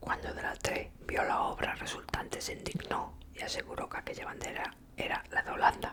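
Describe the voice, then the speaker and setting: Noticeable background noise sits under the recording. A woman is whispering at a moderate speed. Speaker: ASMR creator. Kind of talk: ASMR book reading, whispered. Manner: whispered, soft-spoken.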